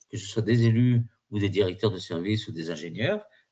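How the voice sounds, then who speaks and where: A somewhat breathy man at a moderate pace. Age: 60s. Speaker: exam prep trainer. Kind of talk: webinar lecture. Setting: online virtual class. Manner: halting, many fillers and repetitions.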